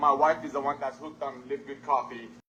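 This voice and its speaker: Very fast male speech with noticeable background noise. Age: 60s. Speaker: company co-founder. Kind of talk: business presentation webinar. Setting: video call.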